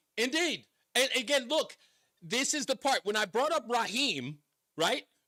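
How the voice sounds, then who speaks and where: With an American accent, a man speaks at a moderate pace in an extremely high, bright, sharp voice that is raised and projected, with lively intonation and very even loudness. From New York City (Queens). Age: 50s. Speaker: radio talk show host. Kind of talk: talk radio.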